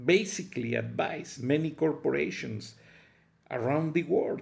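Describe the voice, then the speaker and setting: A man's fairly high voice with vocal fry, lively intonation and a strong Mexican accent, delivered at a very slow pace. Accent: heavy Mexican Spanish. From Mexico. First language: Spanish. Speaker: political commentary vlogger. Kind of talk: political opinion monologue.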